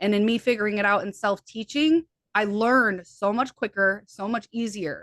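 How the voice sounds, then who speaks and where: The voice carries an American accent with ordinary pitch variation. The sound is dry and close, with no echo. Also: woman, fairly high pitch for a woman. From US Midwest. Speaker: hypnotherapist and healer. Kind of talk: interview conversation. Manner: fast.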